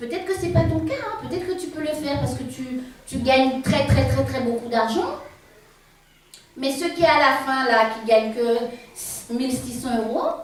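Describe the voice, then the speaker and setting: A woman's high voice with lively intonation, a fairly slow pace and long, frequent pauses, over noticeable background noise and audible room echo. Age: 60s. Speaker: preacher. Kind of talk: sermon. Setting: church with congregation. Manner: halting, repetitive.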